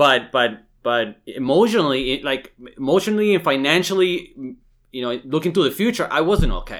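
An unremarkable speaking voice belongs to a man who talks at a moderate pace, fairly high in pitch for a man, with lively intonation. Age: 30s. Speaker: real estate agent. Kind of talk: casual chat.

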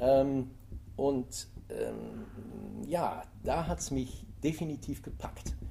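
Room echo is audible while a man talks very slowly. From Germany, Eifel (Rhineland). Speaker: author and tour guide. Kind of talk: interview. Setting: library recording.

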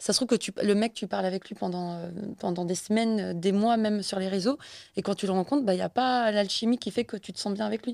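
Very fast and with fairly even intonation, the speech comes through dry and close with no echo on a very clean recording with a silent background. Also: woman, medium pitch for a woman. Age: 20s. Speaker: podcast guest. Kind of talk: casual chat.

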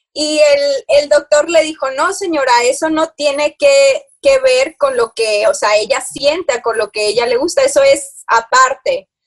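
A woman with a high pitch and ordinary pitch variation speaks at a fairly slow pace, the sound dry and close with no echo. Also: hardly any pauses. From Houston, Texas, of Mexican parents (born in Monterrey). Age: 30s. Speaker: wellness coach. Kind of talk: interview.

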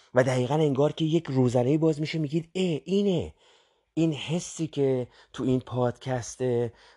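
A man speaks at a moderate pace in a fairly high pitch with ordinary pitch variation, his dark, mellow tone captured in a dry, close sound with no echo. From Iran, Tehran. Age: 50s. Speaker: podcast host, self-help. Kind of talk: motivational monologue. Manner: conversational, with hesitations.

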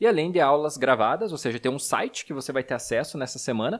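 This is a man with a normal speaking voice, fairly high-pitched, using lively intonation at a fairly quick pace. The recording is very clean, with a silent background. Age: 30s. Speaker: podcast host, financial educator. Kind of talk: casual chat.

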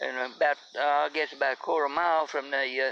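Vocal fry runs through a man's bright, sharp tone as he speaks at a moderate pace and medium pitch with fairly even intonation.

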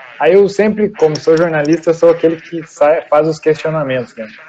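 Over noticeable background noise, a man with a fairly high pitch talks at a moderate pace with lively intonation. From Rio Grande do Sul, Brazil. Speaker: podcast host. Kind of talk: casual interview chat. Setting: video call.

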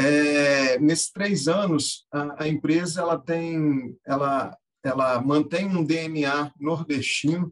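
Fairly high in pitch for a man, this speaker moves at a very slow pace with fairly even intonation and hardly any pauses. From Brazil, Minas Gerais. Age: 30s. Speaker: software company founder and angel investor. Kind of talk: interview. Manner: halting.

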